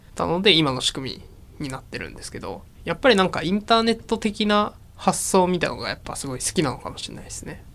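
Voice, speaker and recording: A man's high-pitched voice, fairly quick and with lively intonation. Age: 20s. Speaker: startup founder and CEO. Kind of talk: interview.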